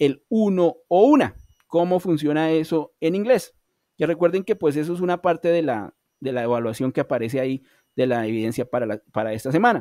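A man with a Colombian accent talks at a fairly quick pace in a dark, mellow tone, his pitch swinging very widely. The sound is dry with no echo, over a quiet background. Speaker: online English teacher. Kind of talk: online class lecture.

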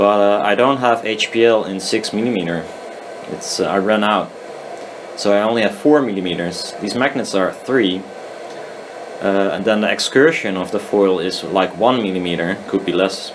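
A very slow-paced man's voice, fairly low in pitch, over noticeable background noise. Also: ordinary pitch variation. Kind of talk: casual tutorial commentary. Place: workshop. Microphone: phone near.

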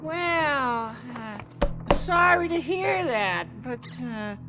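A cartoonish character voice speaks at a very slow pace, with a bright, sharp tone and lively intonation. Faint music plays in the background.

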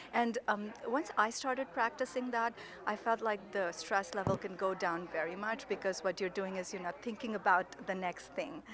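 A woman talks at a moderate pace with ordinary pitch variation, the sound dry with no echo amid noticeable background noise. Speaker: conference speaker. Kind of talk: interview answer. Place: hall. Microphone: handheld.

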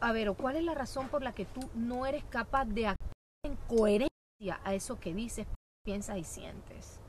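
At a moderate pace and with ordinary pitch variation, a woman speaks in a dry sound with no echo over light background noise. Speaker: guest. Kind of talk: interview answer. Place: garden.

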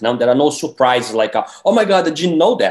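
A man speaks with a Portuguese accent. The background is quiet. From Brazil. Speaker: independent filmmaker; guest. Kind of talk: interview. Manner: halting, many fillers. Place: home room. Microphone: video call.

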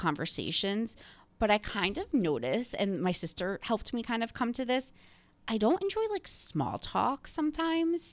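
Her pitch swings very widely as the woman speaks. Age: 30s. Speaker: podcast host. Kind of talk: casual chat. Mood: relaxed, chatty. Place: studio. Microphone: studio mic.

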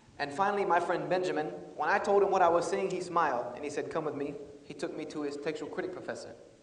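Talking very fast with an American accent, a man with a high pitch shows ordinary pitch variation amid audible room echo. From US South, South Carolina. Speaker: speaker. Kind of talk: lecture. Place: hall. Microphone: lapel.

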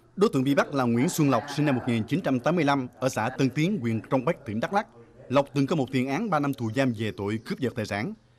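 Speaking at a fairly quick pace, a man uses a normal speaking voice with lively intonation and a medium pitch. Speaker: news narrator. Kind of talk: news reading. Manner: formal.

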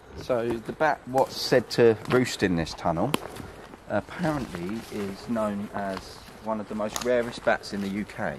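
Noticeable background noise sits behind a man's fairly low voice. He speaks at a fairly slow pace with ordinary pitch variation. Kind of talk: casual vlog commentary. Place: forest. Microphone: phone near.

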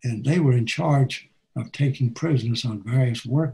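A man speaks with an American accent. His tone is dark and mellow, and somewhat breathy. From United States. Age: 80s+. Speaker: war veteran. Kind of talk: talk presentation over video call. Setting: video call. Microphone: webcam.

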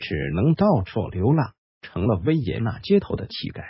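A man at medium pitch speaks somewhat breathily, his pitch swinging very widely. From China. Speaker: history video narrator. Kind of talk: scripted narration.

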